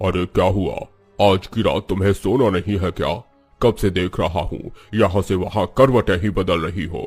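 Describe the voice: Faint music plays behind a man doing a cartoonish character voice at a very deep, low pitch. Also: moderate pace.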